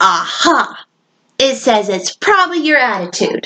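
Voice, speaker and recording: In a put-on, squeaky character voice, a woman speaks at a moderate pace with a high pitch and very wide pitch swings. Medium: read story.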